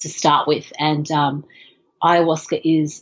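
A woman with an Australian accent, very deep and low in pitch, at a fairly slow pace. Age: 40s. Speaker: film director. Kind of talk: interview. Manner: halting, many fillers.

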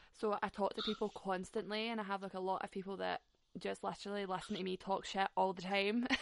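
A woman's medium-pitched voice with a Scottish accent, very fast and flat in a monotone. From Scotland. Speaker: podcast host. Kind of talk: casual interview chat. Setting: video or phone call.

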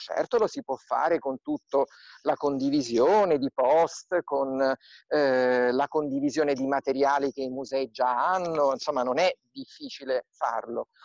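In a normal speaking voice, a man talks at a fairly slow pace and a fairly high pitch, the sound dry and close with no echo. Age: 40s. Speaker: museum director and archaeologist. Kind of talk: interview via video live stream.

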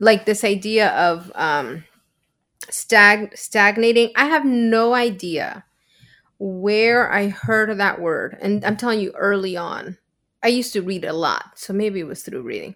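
A woman's medium-pitched voice in a Spanish accent, with ordinary pitch variation at a fairly slow pace. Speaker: podcast co-host on mental health. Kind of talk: casual chat.

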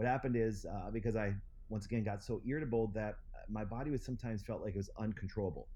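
A man with an Upper Midwest accent speaks at a very fast pace. His medium-pitched voice has a dark, mellow tone and fairly even intonation. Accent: Upper Midwest American. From Wisconsin. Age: 40s. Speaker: chiropractor and clinic founder. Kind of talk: interview.

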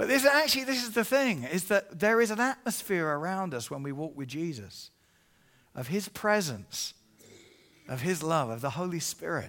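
A man with an English accent speaks at a moderate pace and high pitch, with a bright, sharp, animated tone. His pitch swings very widely. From England. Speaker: evangelist. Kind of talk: sermon. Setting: church.

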